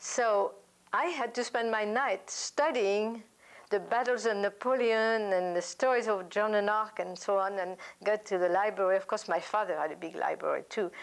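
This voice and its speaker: A woman with a French accent and a fairly high pitch talks at a moderate pace with ordinary pitch variation, recorded very cleanly against a silent background. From France. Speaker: oral history interviewee. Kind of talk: interview answer.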